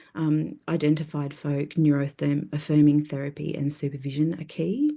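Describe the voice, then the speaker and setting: With an Australian accent, a woman speaks in a very deep, low pitch and a dark, mellow tone. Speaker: therapist. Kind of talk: conference presentation.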